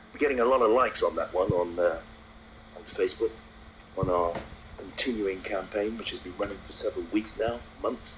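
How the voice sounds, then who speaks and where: Noticeable background noise sits behind the speech. The pace is fairly quick, broken by long, frequent pauses. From London, England. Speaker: taxi trade campaigner. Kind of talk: heated complaint phone call. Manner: confrontational.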